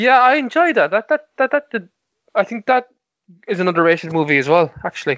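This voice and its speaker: A high-pitched man at a fairly quick pace, with very wide pitch swings. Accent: Cork. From Ireland, Cork (Mallow). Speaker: podcast co-host. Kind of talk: casual chat.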